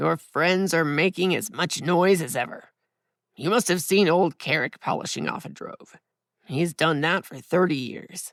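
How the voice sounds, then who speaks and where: Over a very clean recording with a silent background, a put-on character voice comes through at middle pitch, raspy and gruff. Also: moderate pace. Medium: read story.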